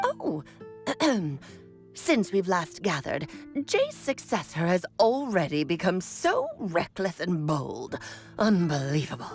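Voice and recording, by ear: A woman uses a put-on character voice, fairly low for a woman, with long, frequent pauses at a fairly slow pace. Music plays clearly in the background.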